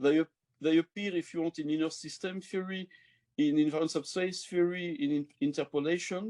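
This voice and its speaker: Speaking with a French accent, a man uses a fairly high pitch and a dark, mellow tone at a moderate pace over a quiet background. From France. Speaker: mathematician; mathematics lecturer. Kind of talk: lecture. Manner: halting. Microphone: webcam.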